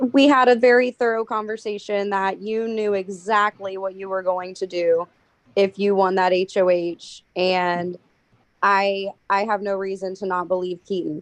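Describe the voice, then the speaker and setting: A woman speaks in an ordinary speaking voice at a medium pitch and a moderate pace, with fairly even intonation. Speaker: jury member in online game finale. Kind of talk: questioning finalists at jury.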